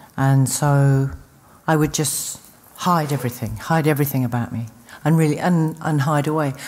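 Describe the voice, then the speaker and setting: A woman with a London accent and a very deep, low pitch talks at a moderate pace with ordinary pitch variation. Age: 50s. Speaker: recovering addict, speaker. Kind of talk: recovery testimony. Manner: halting.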